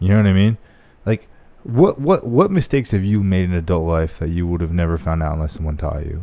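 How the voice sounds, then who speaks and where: A man with an American accent talks very fast in a very deep, low voice with ordinary pitch variation. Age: 20s. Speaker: former marine. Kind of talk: casual chat. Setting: home studio.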